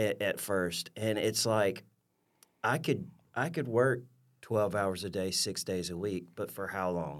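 Lively intonation in an Alabama accent at a fairly slow pace, in a very clean recording with a silent background. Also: man, fairly low pitch for a man. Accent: Southern US (Alabama). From US South, rural southeast Alabama. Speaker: coffee shop owner. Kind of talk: interview. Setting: studio. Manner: animated.

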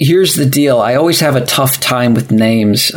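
A man with an unremarkable speaking voice talks at a moderate pace and a medium pitch. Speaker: festival organizer. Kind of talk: casual chat. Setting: live-streamed podcast.

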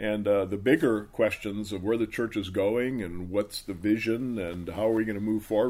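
In a normal speaking voice with fairly even intonation, the speaker moves at a fairly quick pace in a very clean recording with a silent background. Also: man. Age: 60s. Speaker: pastor. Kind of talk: interview answers.

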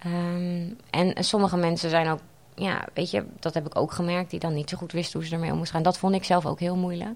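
Moderate in speed, a woman talks with a fairly low pitch. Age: 30s. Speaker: patient sharing her story. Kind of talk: interview testimony. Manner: halting, many fillers.

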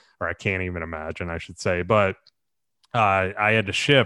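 On a very clean recording with a silent background, a man with an American accent speaks fairly quickly at a very deep, low pitch. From Southwest Florida, Naples area. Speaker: real estate broker and entrepreneur. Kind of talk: interview. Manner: casual, filler-heavy.

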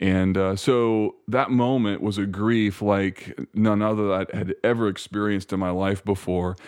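Here is a man with an ordinary speaking voice. He talks at a moderate pace with a fairly low pitch. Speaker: pastor. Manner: articulate.

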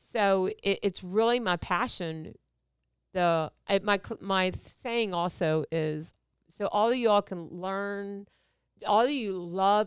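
In a very clean recording with a silent background, a woman with a plain, everyday voice talks at a fairly slow pace, her medium pitch showing ordinary variation. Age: 50s. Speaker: podcast guest, hairdresser and supplement business owner. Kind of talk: casual interview chat, personal testimony. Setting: studio.

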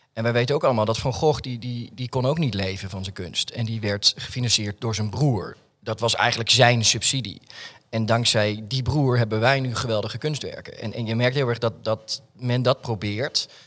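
Here is an unremarkable speaking voice. It moves at a moderate pace with fairly even intonation. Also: man, medium pitch for a man. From Netherlands, Alphen aan de Rijn (South Holland). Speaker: artist and theatre maker. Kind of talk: casual interview chat. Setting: studio in an office building.

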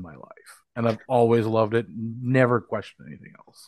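A man speaks in an Upper Midwest accent. He talks at a fairly quick pace. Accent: Upper Midwest American. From northwestern Minnesota. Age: 30s. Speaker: professional wrestler and wrestling promoter. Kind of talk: casual interview chat. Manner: halting, many fillers.

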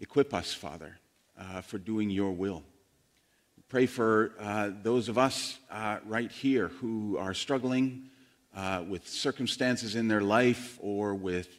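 Pausing long and often, a man speaks very slowly at a fairly low pitch with ordinary pitch variation. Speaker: pastor. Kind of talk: sermon. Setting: church. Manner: conversational, teaching.

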